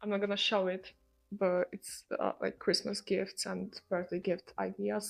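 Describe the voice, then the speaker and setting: A woman talks at a moderate pace. She has a non-native accent. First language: not English. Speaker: lifestyle vlogger. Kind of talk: casual vlog talk to camera.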